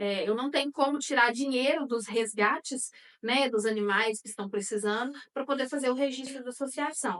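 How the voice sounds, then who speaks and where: The woman's pitch is high. She keeps a moderate pace. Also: ordinary pitch variation. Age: 30s. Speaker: animal welfare activist. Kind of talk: interview. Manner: halting, many fillers.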